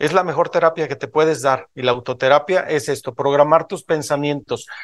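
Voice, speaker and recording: In a quiet setting, a man speaks at a fairly quick clip. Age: 50s. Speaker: motivational speaker at a business event; motivational speaker. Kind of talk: motivational talk to a live audience. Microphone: video call.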